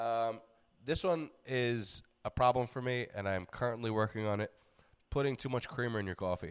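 A man speaks in a normal speaking voice at a moderate pace and medium pitch, on a very clean recording with a silent background. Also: ordinary pitch variation. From New York. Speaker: comedian and fitness podcast host. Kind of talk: casual chat.

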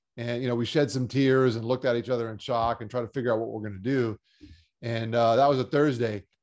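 Against a quiet background, a man with a medium-pitched voice speaks at a very fast pace. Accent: American. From South Florida. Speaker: cancer survivor and motivational speaker. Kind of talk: interview. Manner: animated.

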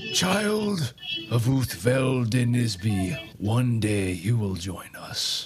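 Over faint background music, a man puts on a character voice at medium pitch and a very slow pace. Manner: eerie, ominous.

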